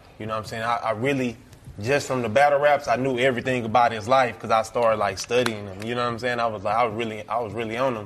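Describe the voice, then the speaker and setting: Over noticeable background noise, a man at medium pitch talks at a very fast pace with fairly even intonation. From Texas, Fort Worth. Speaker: video blogger. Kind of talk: casual chat. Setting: studio.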